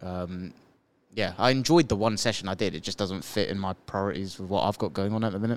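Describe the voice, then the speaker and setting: A man with a British accent at a very fast pace, fairly low in pitch with ordinary pitch variation. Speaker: podcast co-host. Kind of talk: casual chat.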